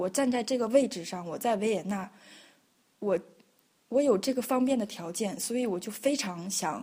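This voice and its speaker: A woman speaks with a fairly high pitch and ordinary pitch variation. Her tone is dark and mellow, and somewhat breathy. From northeast China (Liaoning). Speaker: choreographer and dancer. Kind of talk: interview. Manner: hesitant, many fillers.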